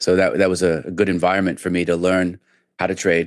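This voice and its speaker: A man with a New York accent and a very deep, low pitch, at a moderate pace. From New York, about an hour north of Manhattan. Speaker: trader. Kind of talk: interview conversation.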